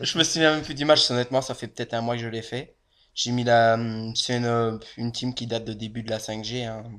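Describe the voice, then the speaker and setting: With a Belgian accent, a man at medium pitch speaks at a fairly quick pace with fairly even intonation in a very clean recording with a silent background. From Belgium. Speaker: gaming youtuber. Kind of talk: game commentary chat. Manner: casual, rambling with fillers.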